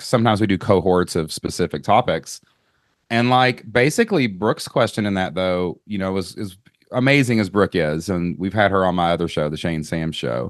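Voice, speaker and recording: In a Kentucky accent, a man talks at a fairly quick pace with a very deep, low pitch and lively intonation. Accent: Southern US (Kentucky). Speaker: podcast host. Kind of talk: casual interview chat. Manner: animated.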